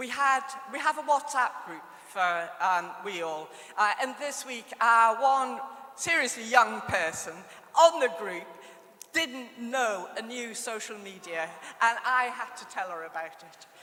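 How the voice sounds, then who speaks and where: Speaking at a fairly slow pace, a woman with a fairly high pitch shows very wide pitch swings and big swings in loudness, amid noticeable background noise and audible room echo. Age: 60s. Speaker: conference chair. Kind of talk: conference hosting. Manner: hesitant.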